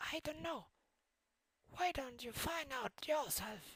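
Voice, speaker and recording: A put-on, high-pitched character voice at a fairly slow pace. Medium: audio drama. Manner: teasing, slippery.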